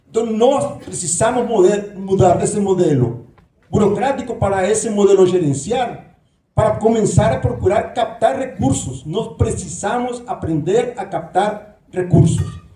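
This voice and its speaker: A man with a Nicaraguan accent speaks in a high pitch with lively intonation. His pace is fairly slow, and the room echo is audible. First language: Spanish (speaking Portuguese). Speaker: professor, candidate for university leadership. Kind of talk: debate speech. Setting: auditorium with audience.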